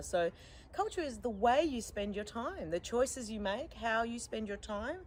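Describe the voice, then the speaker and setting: This woman's voice sits fairly high, with ordinary pitch variation. She speaks at a moderate pace. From Australia (Sydney), born in Iran. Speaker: musician and performer. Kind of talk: interview. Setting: live stream.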